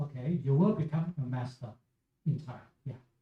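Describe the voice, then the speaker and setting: Speaking at a moderate pace, a man with a Chinese accent has a dark, mellow tone and ordinary pitch variation. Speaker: Buddhist teacher. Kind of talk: Q&A with school students. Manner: halting.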